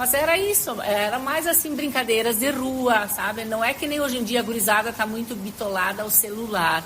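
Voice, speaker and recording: The speech shows ordinary pitch variation, with audible room echo and noticeable background noise. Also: woman, fairly high pitch for a woman, moderate pace, hardly any pauses. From southern Brazil, Galópolis (Rio Grande do Sul). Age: 60s. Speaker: retired teacher. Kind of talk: interview.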